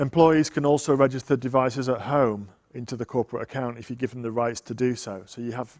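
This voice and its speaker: Fairly quick and fairly even in intonation, a man with a Yorkshire accent speaks in a medium pitch. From Yorkshire, northern England. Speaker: tech evangelist presenter. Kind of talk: technical conference talk.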